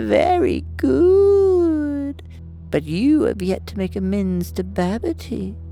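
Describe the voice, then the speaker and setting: Over clear music in the background, a man uses a put-on character voice at a very slow pace. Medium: read story. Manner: stern, authoritative.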